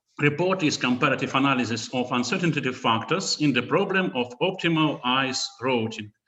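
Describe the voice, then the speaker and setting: With a strong Russian accent, a man speaks at a fairly slow pace and medium pitch in a bright, sharp tone. His pitch varies in an ordinary way, with audible room echo. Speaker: researcher. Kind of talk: conference talk. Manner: halting.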